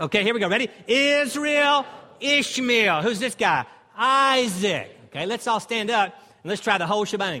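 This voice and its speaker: A man with an American accent speaks in a high, raised, projected voice. His tone is bright, sharp and animated. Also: lively intonation, moderate pace. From Texas, Dallas. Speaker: pastor and Bible seminar instructor. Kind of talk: interactive teaching seminar. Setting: stage with audience.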